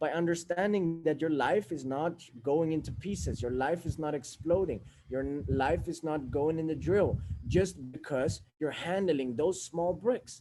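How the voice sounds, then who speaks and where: A fairly high-pitched man with a Swedish accent, a dark, mellow tone, lively intonation and a fairly slow pace. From Sweden. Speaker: self-help speaker. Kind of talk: motivational monologue.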